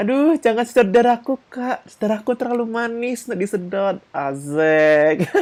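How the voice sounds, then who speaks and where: An animated woman with an Indonesian accent, fairly high in pitch, with very wide pitch swings and hardly any pauses. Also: moderate pace. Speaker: vtuber gamer streamer. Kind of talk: live gaming stream commentary.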